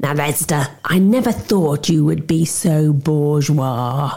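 A man puts on a character voice with vocal fry, a slightly mellow tone, ordinary pitch variation and a slow pace. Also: fairly high pitch for a man.

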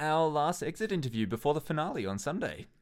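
A plain, everyday voice from a man at a fairly high pitch with ordinary pitch variation, on a very clean recording with a silent background. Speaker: podcast host. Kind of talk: casual chat.

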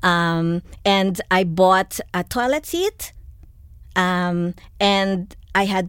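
Recorded very cleanly against a silent background, a woman's medium-pitched voice has a dry, close sound with no echo. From Philippines. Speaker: tiny house dweller and influencer. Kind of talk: interview. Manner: hesitant, many fillers.

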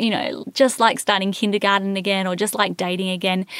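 With an Australian accent, a woman speaks at a moderate pace in a dry, close sound with no echo. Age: 30s. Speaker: podcast host and infertility coach. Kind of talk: solo podcast monologue. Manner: animated.

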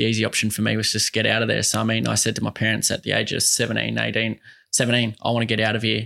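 In an Australian accent, this voice has a bright, sharp tone with vocal fry, moving at a very fast pace on a very clean recording with a silent background. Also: man. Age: 20s. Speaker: mental health advocate. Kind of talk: casual interview chat.

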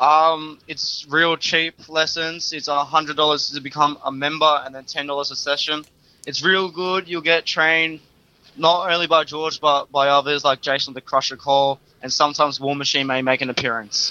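This man speaks with an Australian accent at a moderate pace. His pitch is fairly high, his intonation monotone and flat. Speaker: wrestling trainee and referee. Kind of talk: interview.

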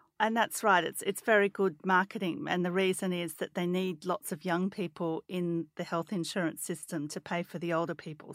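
A woman with an Australian accent at a moderate pace, fairly even intonation, a dry, close sound with no echo, and a very clean recording with a silent background. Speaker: podcast co-host, finance journalist. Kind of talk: casual explanatory chat.

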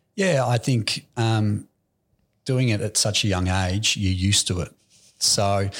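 A man's fairly low, somewhat breathy voice with an Australian accent, at a moderate pace on a very clean recording with a silent background. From Australia, Melbourne (Aspendale). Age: 20s. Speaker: real estate agency director. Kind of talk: interview.

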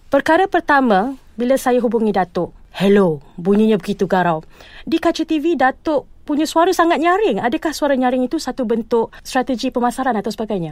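A woman's high-pitched voice makes very wide pitch swings in a dry, close sound with no echo. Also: fairly quick pace. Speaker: broadcast journalist and TV news presenter. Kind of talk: interview.

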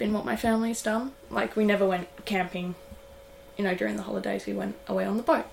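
With an Australian accent, a woman speaks at medium pitch and a fairly quick pace over noticeable background noise. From Tasmania, Australia. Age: 20s. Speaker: sailmaker and offshore racer. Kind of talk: casual interview chat. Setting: on board a yacht.

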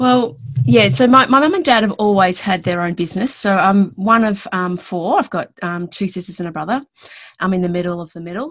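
Lively in intonation, a woman talks at a fairly quick pace with a medium pitch. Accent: Australian. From Western Australia. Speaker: business consultant. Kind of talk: casual interview chat. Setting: video call from home.

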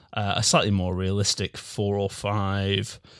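An ordinary speaking voice moves at a fairly slow pace. The recording is very clean, with a silent background. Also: man. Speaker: podcast host. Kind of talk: casual banter podcast chat. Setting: studio, in a room together. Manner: dry, joking.

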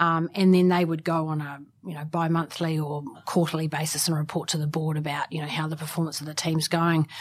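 A woman's very deep, low voice in a New Zealand accent, monotone and flat, over noticeable background noise. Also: fairly quick pace. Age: 40s. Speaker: sports club executive. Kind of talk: interview. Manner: hesitant, many fillers.

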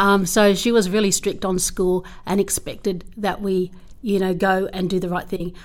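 With an Australian accent, a woman speaks at a moderate pace. Her intonation is monotone and flat. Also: medium pitch for a woman. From far western New South Wales, Australia (Menindee). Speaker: school principal. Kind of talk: interview.

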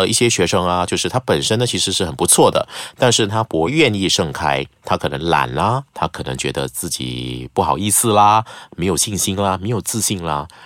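Speaking at a fairly quick pace, a man with a fairly low pitch shows vocal fry and very wide pitch swings. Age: 40s. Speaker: news anchor. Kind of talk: casual chat.

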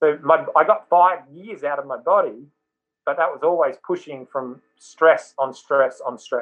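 A man's fairly high voice with an Australian accent, fairly slow in pace and with ordinary pitch variation. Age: 50s. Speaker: mindset coach, former rugby league player. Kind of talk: interview.

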